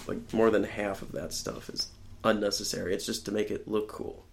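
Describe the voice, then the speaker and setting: A man talks in a normal speaking voice. His pace is moderate and his intonation lively. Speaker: podcast guest. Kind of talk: casual chat.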